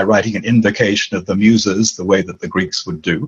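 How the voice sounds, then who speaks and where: A man speaks at a fairly quick pace with a medium pitch. Noticeable background noise runs under his voice. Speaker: author and dream teacher. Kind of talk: interview. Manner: animated.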